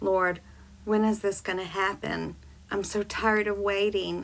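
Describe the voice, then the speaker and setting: A raspy, female-sounding put-on character voice at a moderate pace, in a very clean recording with a silent background. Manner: desperate, begging, frustrated.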